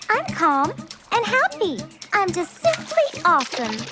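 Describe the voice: Over faint music in the background, a cartoonish character voice with a bright, sharp tone makes very wide pitch swings at a fairly slow pace.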